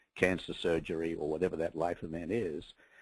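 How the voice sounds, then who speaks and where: A man with an Australian accent at a moderate pace, dry, close sound with no echo, quiet background. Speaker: media executive. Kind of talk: webinar presentation. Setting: webinar call.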